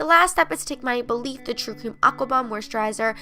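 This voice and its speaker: A woman with a high pitch and an upbeat tone, talking at a very fast pace. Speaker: beauty vlogger. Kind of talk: casual talk to camera.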